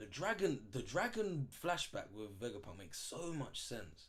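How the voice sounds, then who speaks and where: His voice swinging very widely in pitch, a man talks with vocal fry. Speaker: manga reaction youtuber. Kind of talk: casual reaction commentary. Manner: fast; animated.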